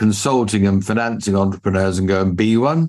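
Fairly low in pitch, a man speaks with an English accent and ordinary pitch variation. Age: 60s. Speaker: business mentor. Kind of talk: interview. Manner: formal.

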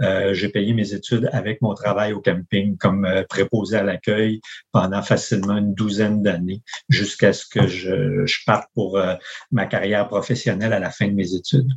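Here a man talks at a moderate pace in a plain, everyday voice. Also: fairly low pitch for a man, fairly even intonation. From Quebec, Charlevoix (Baie-Saint-Paul). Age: 50s. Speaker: campground owner and engineer. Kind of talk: interview conversation.

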